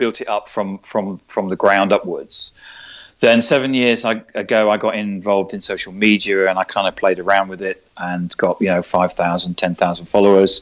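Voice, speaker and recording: Speaking with a London accent against a quiet background, a man with a fairly low pitch keeps a moderate pace and fairly even intonation. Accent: southern English (London). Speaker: sales trainer and author. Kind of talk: interview. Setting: podcast recording. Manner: halting, many repetitions.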